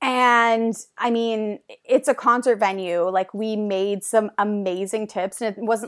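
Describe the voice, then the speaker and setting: Intonation stays fairly even. The recording is very clean, with a silent background. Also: woman. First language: French. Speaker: beer company artist liaison, former TV reporter. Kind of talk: casual chat. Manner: casual, filler-heavy, chatty.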